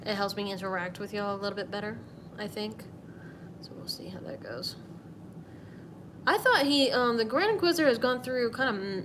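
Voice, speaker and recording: Amid noticeable background noise and audible room echo, a woman speaks at a fairly high pitch and fairly quick pace with lively intonation, big swings in loudness and long, frequent pauses. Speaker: artist streaming a drawing session. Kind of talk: casual live stream while drawing. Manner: rambling, hesitant with fillers.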